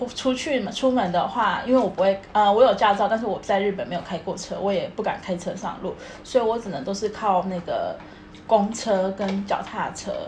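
A woman speaks at a medium pitch and moderate pace in a Taiwanese accent, with ordinary pitch variation. Noticeable background noise and audible room echo fill the recording. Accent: Taiwanese Mandarin. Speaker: podcast co-host. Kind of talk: casual chat.

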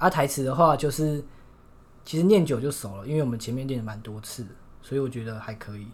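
With big swings in loudness, a man talks at a very fast pace in a somewhat breathy voice of medium pitch and ordinary pitch variation. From Taiwan, Shulin (New Taipei). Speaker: university student. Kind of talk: casual chat.

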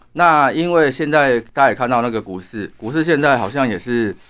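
An unremarkable speaking voice from a man at a medium pitch and moderate pace, with ordinary pitch variation, on a very clean recording with a silent background. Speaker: astrologer and author. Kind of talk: interview.

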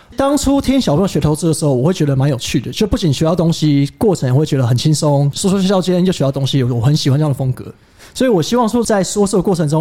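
Over noticeable background noise, a man rattles along at a very fast pace and a fairly high pitch. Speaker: podcast co-host, trading office colleague. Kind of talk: casual chat.

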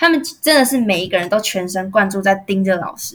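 A woman's voice of medium pitch, bright and sharp in tone, with lively intonation. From Taiwan, Taoyuan. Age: young. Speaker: university student. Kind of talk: casual interview. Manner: poised, articulate.

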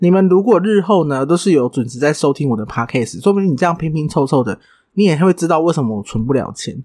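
Using lively intonation, a man talks at a very fast pace in a dark, mellow tone. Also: fairly high pitch for a man. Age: 30s. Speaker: podcast host and hairdresser. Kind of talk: casual solo monologue.

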